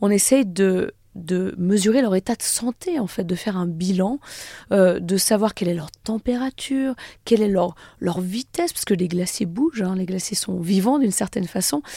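A dark, mellow tone with ordinary pitch variation, heard dry and close with no echo. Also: woman, medium pitch for a woman, moderate pace. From French Alps, Haute-Savoie (Annecy area). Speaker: glaciologist and author. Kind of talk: radio interview.

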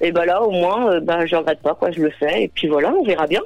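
A woman rattles off her words very fast while noticeable noise carries on behind her. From Normandy, Seine-Maritime. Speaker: mobile grocer. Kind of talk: interview. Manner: casual, hesitant with fillers.

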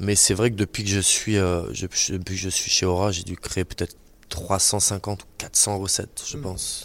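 Monotone, flat delivery at a fairly slow pace, in a very clean recording with a silent background. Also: man. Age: 30s. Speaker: chef. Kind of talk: interview. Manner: halting.

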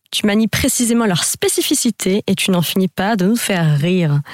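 A woman with a medium pitch speaks at a moderate pace. The sound is dry and close, with no echo. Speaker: radio host. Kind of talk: radio interview. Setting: radio studio.

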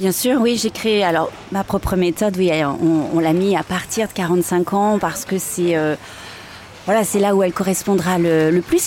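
A woman at medium pitch and moderate pace, with ordinary pitch variation over noticeable background noise. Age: 40s. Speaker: fitness coach and former dancer. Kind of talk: interview. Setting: outdoors near a café in Paris. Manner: halting.

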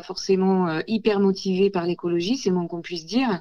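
A woman's dark, mellow voice, fairly low in pitch, at a moderate pace. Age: 40s. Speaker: ceramicist. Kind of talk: radio interview. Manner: hesitant, many fillers.

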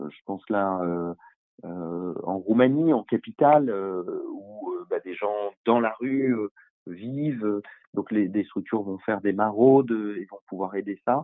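A man with a fairly low pitch speaks very slowly. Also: ordinary pitch variation. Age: 50s. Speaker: NGO founder. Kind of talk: interview. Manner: halting.

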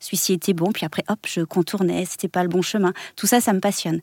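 In a very clean recording with a silent background, a woman speaks at a moderate pace and medium pitch with fairly even intonation, in a dry, close sound with no echo. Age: 40s. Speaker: body method teacher and former dance teacher. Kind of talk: radio interview. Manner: halting.

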